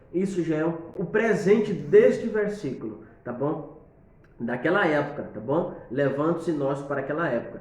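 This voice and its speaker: This man has a fairly high pitch and lively intonation. The room echo is audible, and there is noticeable background noise. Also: moderate pace. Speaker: preacher giving tips. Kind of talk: tutorial. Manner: halting, with many fillers.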